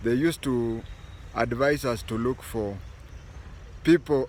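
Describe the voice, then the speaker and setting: Speaking very slowly in a Kenyan accent, a man keeps a medium pitch with ordinary pitch variation. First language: Bukusu. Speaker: political commentator, former intelligence officer. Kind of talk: political commentary.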